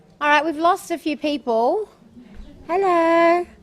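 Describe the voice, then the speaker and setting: The voice is loud, with an Australian accent. It moves at a moderate pace. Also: woman. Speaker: forum facilitator. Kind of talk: panel presentation at a forum.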